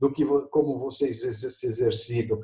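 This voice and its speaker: A man with a medium pitch and a dark, mellow tone sounds somewhat breathy as he speaks at a moderate pace. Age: 60s. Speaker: professor. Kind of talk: video lesson conversation.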